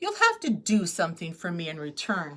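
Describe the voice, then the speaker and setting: Putting on a gruff character voice, a woman speaks at a fairly low pitch and a moderate pace. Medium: read story.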